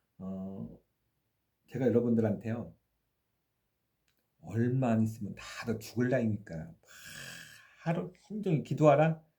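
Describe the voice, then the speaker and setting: A man of medium pitch speaks at a fairly slow pace with a dark, mellow, somewhat breathy tone and lively intonation. He leaves long, frequent pauses, and his loudness swings widely. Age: 60s. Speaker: faith YouTuber. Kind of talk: casual monologue. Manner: hesitant, many fillers.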